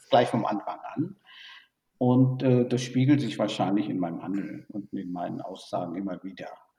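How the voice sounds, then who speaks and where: A man speaking at a moderate pace. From born in Burma, raised in Germany. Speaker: tech industry executive. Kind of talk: interview. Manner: hesitant with many fillers.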